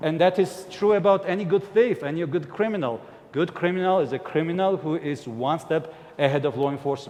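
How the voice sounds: A man's slightly mellow, fairly high-pitched voice at a fairly quick pace, with ordinary pitch variation and few pauses.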